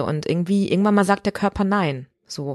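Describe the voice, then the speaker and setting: A woman with an ordinary speaking voice, ordinary pitch variation and a fairly quick pace, on a very clean recording with a silent background and a dry, close sound with no echo. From Ruhr area, Germany (Recklinghausen). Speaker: musical theatre performer. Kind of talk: casual interview. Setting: dressing room in an opera house.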